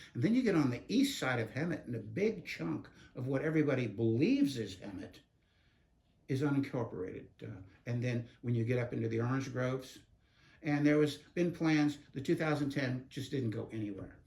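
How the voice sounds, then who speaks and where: Lively in intonation, a man talks at a fairly quick pace in a medium, somewhat breathy voice. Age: 70s. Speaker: community advocate. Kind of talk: interview.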